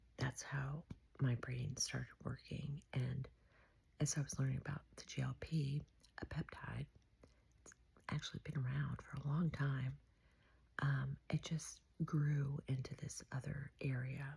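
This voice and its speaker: With a very deep, low pitch, a dark, mellow tone and vocal fry, a woman speaks in a monotone, flat intonation at a fairly slow pace, leaving long, frequent pauses. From beach town. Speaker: vlogger. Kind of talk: casual monologue. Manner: soft-spoken; halting.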